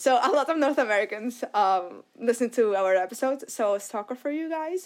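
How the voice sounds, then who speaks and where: A woman speaks with a high pitch and lively intonation. She keeps a moderate pace on a very clean recording with a silent background. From Morocco. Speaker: podcast host. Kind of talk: casual chat.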